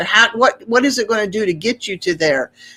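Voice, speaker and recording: A woman's normal speaking voice, fairly high in pitch, with lively intonation at a fairly quick pace. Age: 60s. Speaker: homesteader and podcaster. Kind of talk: interview. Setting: live stream.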